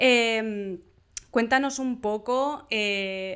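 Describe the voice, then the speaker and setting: Intonation is fairly even throughout. The tone comes across bright and sharp. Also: woman. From Mallorca, Spain. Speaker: animation interviewer, channel host. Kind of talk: interview.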